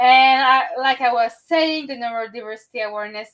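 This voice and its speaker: Her tone is bright and sharp, and her pitch is fairly high. The woman speaks at a moderate pace with a French accent. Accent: French-speaker English. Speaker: podcast host and event organizer. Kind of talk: podcast interview. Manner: halting, searching for words.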